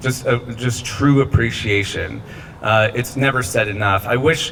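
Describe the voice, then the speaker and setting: A man with an American accent speaks with fairly even intonation. Noticeable background noise runs under his voice. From Southern California (Riverside). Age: 40s. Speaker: school alumnus honoree, brand founder and author. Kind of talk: award acceptance speech. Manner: casual, conversational with fillers.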